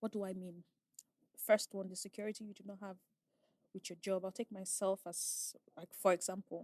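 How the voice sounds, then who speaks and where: A woman of medium pitch speaks with a Nigerian accent at a fairly quick pace. The sound is dry and close, with no echo. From Nigeria, raised in Asaba. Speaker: oil and gas safety inspector. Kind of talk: casual chat.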